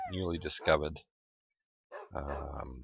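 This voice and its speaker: A man with a very deep, low voice and vocal fry speaks at a fairly slow pace in a dry, close sound with no echo. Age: 40s. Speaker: gaming YouTuber. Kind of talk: let's play commentary. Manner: halting, many fillers.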